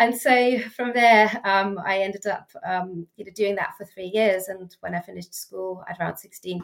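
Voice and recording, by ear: A woman's medium-pitched voice with vocal fry, at a moderate pace and with fairly even intonation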